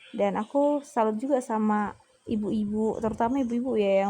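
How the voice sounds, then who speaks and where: A woman speaks in a dark, mellow tone, somewhat breathy and fairly high in pitch. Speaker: teacher and vlogger. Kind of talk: casual cooking vlog chat.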